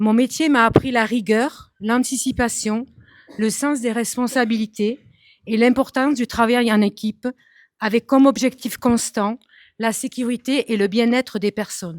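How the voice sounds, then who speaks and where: An ordinary speaking voice delivers its words at a fairly slow pace with fairly even intonation. The recording is very clean with a silent background and a dry, close sound with no echo. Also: woman, fairly high pitch for a woman. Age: 40s. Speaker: municipal election candidate. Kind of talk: prepared self-introduction speech. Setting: public meeting hall with audience.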